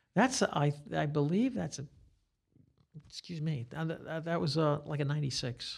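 Here a man with an American accent speaks at a moderate pace in a fairly high, somewhat breathy voice. His intonation is lively, broken by long, frequent pauses. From Staten Island, New York. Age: 60s. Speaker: guitarist and guitar teacher. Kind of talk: casual interview chat. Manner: talkative.

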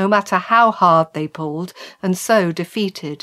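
The text is read aloud in a natural voice, its pitch shifting by ordinary amounts.

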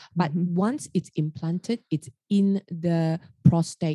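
A woman speaks with a fairly low, somewhat breathy voice and a dark, mellow tone. Her intonation is fairly even, with a dry, close sound and no echo. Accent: Australian. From Australia, Sydney. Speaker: radiation oncologist. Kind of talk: casual interview.

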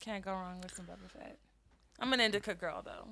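A woman talks with vocal fry at a medium pitch. Her intonation stays fairly even. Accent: American. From Colorado. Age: 20s. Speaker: holistic healer and Reiki practitioner. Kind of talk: casual chat. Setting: studio at a dispensary.

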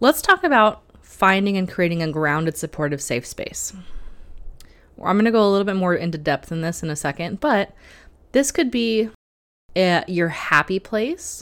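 Recorded very cleanly against a silent background, a woman talks at a moderate pace and medium pitch with lively intonation in a plain, everyday voice. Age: 30s. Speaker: tarot and spirituality podcast host. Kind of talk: solo podcast monologue.

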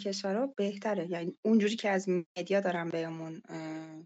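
The speaker talks at a moderate pace in an Azerbaijani accent. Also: woman. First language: Azerbaijani (speaking Persian). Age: 30s. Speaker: UI/UX and mobile game designer. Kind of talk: casual interview. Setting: online call from laptop. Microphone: connection dropouts.

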